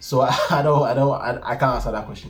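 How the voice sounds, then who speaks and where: Music plays in the background. A man speaks at a fairly quick pace. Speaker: YouTuber. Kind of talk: casual Q&A talk to camera. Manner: fast.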